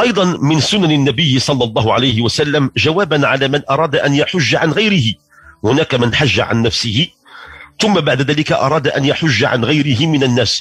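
In a Moroccan accent, a man with a fairly high pitch speaks at a moderate pace with lively intonation and very even loudness, the sound dry with no echo. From Morocco. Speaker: religious radio host. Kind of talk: religious talk. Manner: formal. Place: studio.

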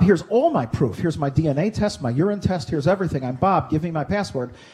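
Against a quiet background, a man with a normal speaking voice talks at a fairly quick pace. His pitch is fairly high and his intonation lively. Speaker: entrepreneur and privacy advocate; presenter. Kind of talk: conference presentation. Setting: lecture hall with audience. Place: classroom. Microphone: headset.

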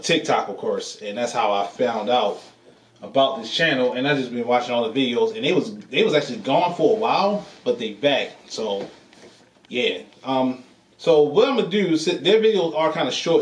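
Moderate-paced speech with audible room echo. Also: man. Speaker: reaction channel host. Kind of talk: casual vlog chat. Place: home room.

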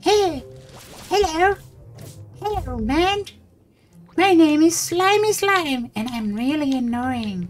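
A squeaky, high-pitched put-on character voice moves at a fairly slow pace with long, frequent pauses. Music plays in the background. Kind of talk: casual gameplay commentary. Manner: annoying, silly. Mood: playful, joking.

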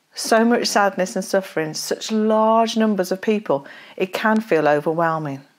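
A woman speaks at a moderate pace with very wide pitch swings. The background is quiet. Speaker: speaker. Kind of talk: devotional talk and scripture reading. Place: home room. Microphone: lapel.

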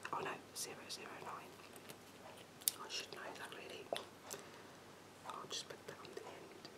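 A soft-spoken voice whispers over loud background noise. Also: moderate pace. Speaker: beauty vlogger. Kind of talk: casual tutorial chat. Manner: soft whispered ASMR-style talk.

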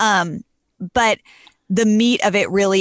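Here a woman speaks against a quiet background. The sound is dry, with no echo. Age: 30s. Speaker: wedding photographer. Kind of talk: casual chat. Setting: video call. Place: home room. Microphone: studio mic.

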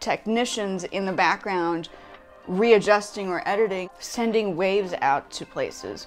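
Faint background music can be heard. The speaking pace is moderate. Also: woman. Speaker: vlogger. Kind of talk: casual vlog chat. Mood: complaining, opinionated. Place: home room.

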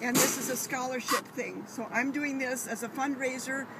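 Amid loud background noise, a woman speaks at a moderate pace in a monotone, flat intonation, the sound dry with no echo. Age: 80s+. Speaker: grandmother swimming for charity. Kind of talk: interview answer. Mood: earnest, heartfelt. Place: waterside. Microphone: phone near.

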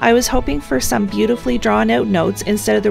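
A woman's very fast speech with music in the background. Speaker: fan video commentator. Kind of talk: ranking commentary narration.

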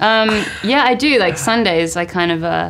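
A woman with a fairly bright tone speaks at medium pitch and a moderate pace, with ordinary pitch variation.

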